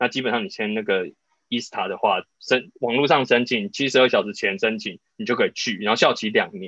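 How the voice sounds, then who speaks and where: Bright and sharp in tone, a man talks at a fairly quick pace with medium pitch and lively intonation. The sound is dry and close, with no echo. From Taiwan. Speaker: travel podcast host. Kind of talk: casual chat.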